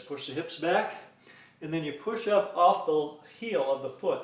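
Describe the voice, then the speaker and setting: A man's voice, moderate in speed and ordinary in its pitch movement, comes with audible room echo and noticeable background noise. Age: 50s. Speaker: fitness instructor. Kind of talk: workout tutorial. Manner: casual, with frequent uh fillers.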